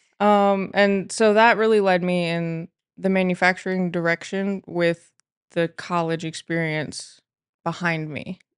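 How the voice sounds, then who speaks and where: In an ordinary speaking voice, the words come at a fairly slow pace with fairly even intonation and a dry, close sound with no echo. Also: woman, medium pitch for a woman. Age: 20s. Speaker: manufacturing technician. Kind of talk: casual interview.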